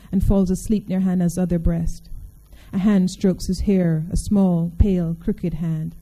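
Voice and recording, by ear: Reading aloud in a natural voice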